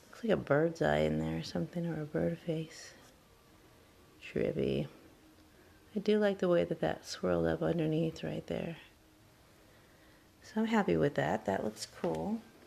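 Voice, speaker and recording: A soft-spoken woman at a fairly slow pace. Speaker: craft hobbyist. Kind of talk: tutorial. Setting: at home, child asleep nearby. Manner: casual.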